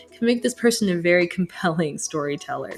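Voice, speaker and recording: Music runs in the background while a woman talks in a fairly low pitch. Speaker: astrologer. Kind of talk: astrology chart reading. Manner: halting, self-correcting.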